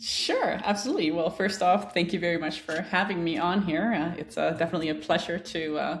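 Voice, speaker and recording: The woman's voice has a medium pitch with ordinary variation. She talks fairly quickly. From Denmark. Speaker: woodworking YouTuber and plan designer. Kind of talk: podcast interview.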